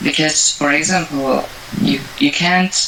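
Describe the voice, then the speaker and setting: Noticeable background noise runs through the clip. The talking is fairly slow. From France. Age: 20s. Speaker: university student. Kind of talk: interview.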